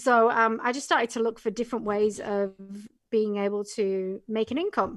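This speaker has an English accent and fairly even intonation. The pace is moderate and the background quiet. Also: woman, fairly high pitch for a woman. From England. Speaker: Amazon business coach. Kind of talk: casual interview.

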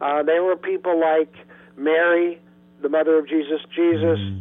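Background noise is plainly audible. Through it, a man talks rather slowly. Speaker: spiritual counselor and teacher. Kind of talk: interview.

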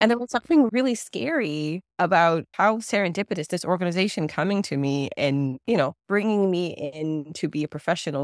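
A woman with a plain, everyday voice speaks fairly quickly at a fairly low pitch. The sound is dry and close with no echo, in a very clean recording with a silent background. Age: 30s. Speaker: therapist, OCD specialist. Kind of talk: casual interview chat.

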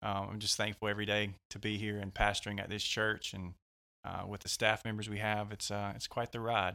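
Against a silent background in a very clean recording, a man with an American accent speaks at a fairly quick pace, his fairly low voice bright and sharp in tone but monotone and flat. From West Georgia, US South. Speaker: pastor. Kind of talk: casual interview, personal testimony. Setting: studio.

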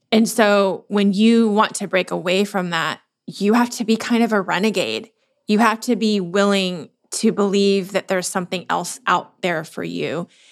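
A woman speaks at a medium pitch and a moderate pace, with fairly even intonation. She has an ordinary speaking voice, and the recording is very clean with a silent background. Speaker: business owner and former corporate executive. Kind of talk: casual interview chat.

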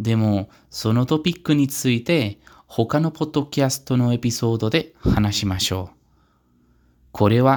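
A man with a Spanish accent speaks at a fairly slow pace with ordinary pitch variation, in a very clean recording with a silent background. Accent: Spanish-accented Japanese. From Spain, Pamplona. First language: Spanish (speaking Japanese). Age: 20s. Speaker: language learner podcaster. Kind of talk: self-introduction monologue. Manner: careful, learner-paced.

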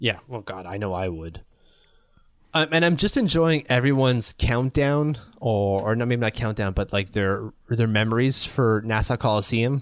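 A man with a Canadian accent speaks in an ordinary speaking voice at medium pitch, with ordinary pitch variation and a moderate pace, in a very clean recording with a silent background. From Ottawa, Canada. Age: 30s. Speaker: hockey podcast co-host. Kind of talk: casual chat.

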